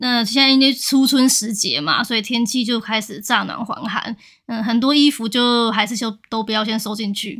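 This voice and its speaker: An ordinary speaking voice from a woman, fairly high in pitch, with fairly even intonation and a moderate pace. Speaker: podcast co-host. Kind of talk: casual chat.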